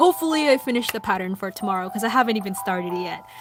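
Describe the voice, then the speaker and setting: A woman is speaking at a medium pitch. Background music can be heard. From Philippines (Filipino family). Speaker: anime art livestreamer. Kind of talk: casual livestream chat. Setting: livestream. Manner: hesitant, many fillers.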